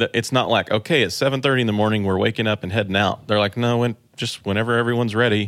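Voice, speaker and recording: A man with an ordinary speaking voice and an American accent speaks fairly quickly in a medium pitch with fairly even intonation, on a very clean recording with a silent background. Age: 30s. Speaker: church tech director and online trainer. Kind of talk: casual chat.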